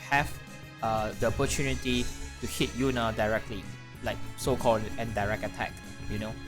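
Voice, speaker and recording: A man speaks at a moderate pace in a fairly low pitch, with lively intonation. Music plays in the background. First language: not English. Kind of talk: game tutorial. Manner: hesitant, casual.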